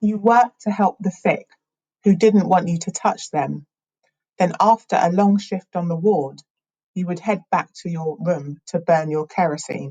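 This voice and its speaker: At a fairly slow pace, a woman speaks in a somewhat breathy, dark and mellow voice of medium pitch with ordinary pitch variation. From England. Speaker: spoken word poet. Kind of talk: spoken word poetry performance.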